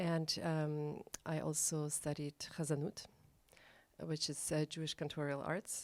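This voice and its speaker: A woman with a Russian accent and a very deep, low pitch speaks at a fairly slow pace on a very clean recording with a silent background. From Germany, Berlin. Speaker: professional singer and cantor. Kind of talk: guest introduction on stage. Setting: live studio stage. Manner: hesitant, many fillers.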